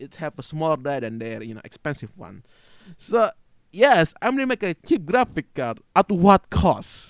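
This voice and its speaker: Swinging very widely in pitch, a man with a high voice speaks on a very clean recording with a silent background and a dry, close sound with no echo. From Asia, non-English-speaking country. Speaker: gaming YouTuber. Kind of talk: opinion rant video. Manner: halting, with fillers and restarts.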